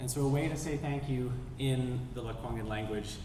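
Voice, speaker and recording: A man with a Canadian accent, audible room echo and noticeable background noise. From western Canada, North Vancouver. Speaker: sea kayak guide and outdoor educator. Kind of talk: public talk.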